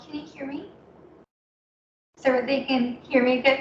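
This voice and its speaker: In a raised, projected voice, a woman speaks at a high pitch over audible room echo. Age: 20s. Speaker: poet. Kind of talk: poetry reading. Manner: halting.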